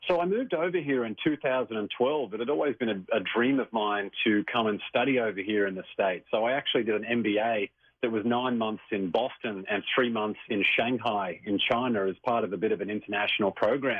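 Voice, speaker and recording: A man with an Australian accent, medium-pitched, at a fairly quick pace with hardly any pauses and ordinary pitch variation. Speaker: author and success coach. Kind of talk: radio interview.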